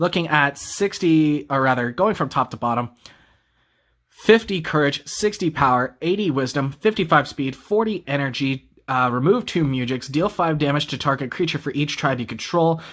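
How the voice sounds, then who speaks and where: A man with a normal speaking voice, fairly high in pitch, lively in intonation and moderate in pace, in a very clean recording with a silent background. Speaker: card game YouTuber. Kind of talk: deck profile tutorial. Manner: casual, with fillers.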